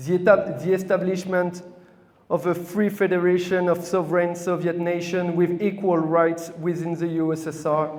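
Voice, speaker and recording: In a French accent, a man speaks at a moderate pace with a high pitch and monotone, flat intonation. Audible room echo and noticeable background noise fill the recording. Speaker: communist party representative. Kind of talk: speech to an audience. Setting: hall with audience, microphone. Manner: halting, with false starts.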